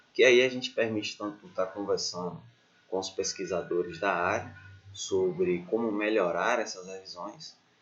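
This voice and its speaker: At a moderate pace, a man with an unremarkable speaking voice talks using lively intonation. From Bahia, Brazil. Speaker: doctoral student, researcher. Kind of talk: educational lecture.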